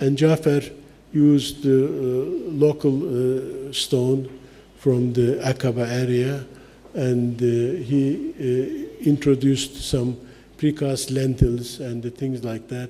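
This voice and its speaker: The speech moves at a very slow pace with monotone, flat intonation. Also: man, medium pitch for a man. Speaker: architect and lecturer. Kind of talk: lecture. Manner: halting, many fillers.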